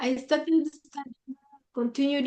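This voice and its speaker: A high-pitched woman's voice in a dry, close sound with no echo. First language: local mother tongue, then Swahili. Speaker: school graduate. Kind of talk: webinar testimony.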